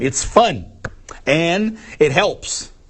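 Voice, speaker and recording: Very wide pitch swings with a slight Brazilian accent. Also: man. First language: Portuguese. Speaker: English teacher. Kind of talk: live Q&A stream. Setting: live stream.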